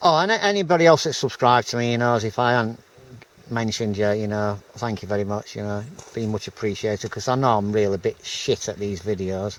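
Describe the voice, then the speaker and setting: A fairly quick delivery with a Yorkshire accent. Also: man. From Yorkshire, northern England. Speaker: outdoors vlogger. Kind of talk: casual vlog talk to camera. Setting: outdoors, wild camp in forest. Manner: halting, many fillers.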